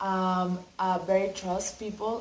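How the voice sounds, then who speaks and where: A woman's medium-pitched voice in a Colombian accent, monotone with flat intonation, with audible room echo. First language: Spanish. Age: 20s. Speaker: university student and volunteer applicant. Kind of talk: application video answering questions. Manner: halting.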